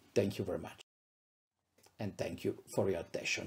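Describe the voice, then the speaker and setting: A man with an Italian accent speaks in a dark, mellow tone that is somewhat breathy. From Italy, Abruzzo region. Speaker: psychiatrist, professor. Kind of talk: lecture. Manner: halting, many fillers.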